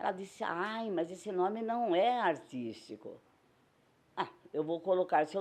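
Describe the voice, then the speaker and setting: Over a quiet background, a woman with a dark, mellow tone speaks at a medium pitch and a fairly slow pace with ordinary pitch variation. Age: old. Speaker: circus actress and singer. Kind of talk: interview testimony.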